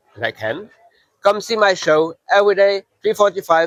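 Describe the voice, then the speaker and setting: The recording is dry and close with no echo as a man with a non-native accent speaks in a high pitch. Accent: foreign accent in English. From Luxembourg. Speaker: mind reader. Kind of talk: show promotion.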